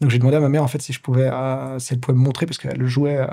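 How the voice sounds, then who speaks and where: The man talks at a very fast pace. His voice is dark, mellow in tone and somewhat breathy. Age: 30s. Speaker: pianist, composer and entrepreneur. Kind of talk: interview. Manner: clear articulation.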